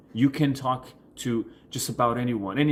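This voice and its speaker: The man's voice sits at a medium pitch and shows ordinary pitch variation. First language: Portuguese. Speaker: coach. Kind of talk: vlog tutorial answering viewer questions. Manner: halting, many fillers and restarts.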